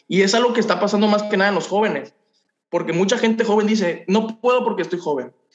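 A man with a Mexican accent at a high pitch, at a very fast pace. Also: ordinary pitch variation, very even loudness. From Mexico, Ciudad del Carmen, Campeche. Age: 20s. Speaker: young entrepreneur, cleaning business owner. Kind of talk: interview testimony.

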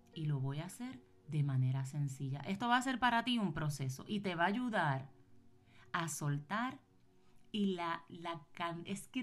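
A woman speaks fairly slowly in a somewhat breathy, fairly low voice that swings very widely in pitch. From Puerto Rico. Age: 40s. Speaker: podcast host, business and wellbeing coach. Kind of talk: motivational solo podcast talk.

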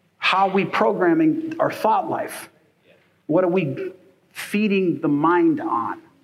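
The intonation is lively, and audible echo from the room can be heard. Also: man. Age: 50s. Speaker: pastor. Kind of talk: sermon. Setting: church.

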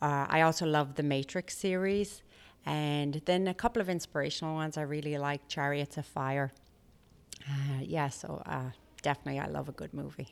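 A woman with an American accent and a very deep, low pitch speaks at a moderate pace with ordinary pitch variation, on a very clean recording against a silent background. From Ireland, Limerick. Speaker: middle school teacher. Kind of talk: interview.

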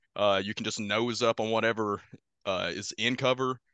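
A man at medium pitch speaks in a bright, sharp tone with monotone, flat intonation, dry and close with no echo over a quiet background. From Kentucky. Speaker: tabletop wargame player and musician. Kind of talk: casual chat.

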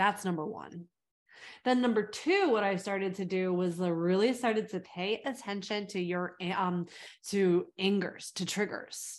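A woman speaks at a medium pitch with an American accent and fairly even intonation in an ordinary speaking voice. The background is quiet. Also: moderate pace. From California, US. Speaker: fitness coach and former personal trainer. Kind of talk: casual interview.

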